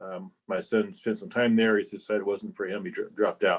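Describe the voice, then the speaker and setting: This man has an ordinary speaking voice at medium pitch. His pitch varies in an ordinary way. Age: 60s. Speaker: club member. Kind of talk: casual remarks in meeting discussion. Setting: club meeting.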